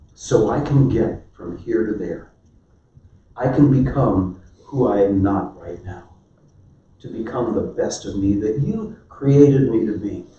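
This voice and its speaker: Lively intonation marks this man's speech, delivered at a very slow pace. Room echo is audible. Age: 70s. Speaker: marriage workshop speaker. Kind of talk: sermon-style marriage talk.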